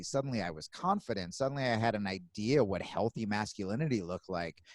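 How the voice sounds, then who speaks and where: In a very clean recording with a silent background, a man with an ordinary speaking voice, fairly low in pitch, speaks with lively intonation and a dry, close sound with no echo. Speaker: comedian. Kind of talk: interview answer. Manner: casual.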